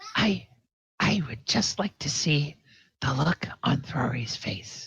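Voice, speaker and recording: A man puts on a raspy character voice, fairly high for a man, at a very slow pace. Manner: mischievous.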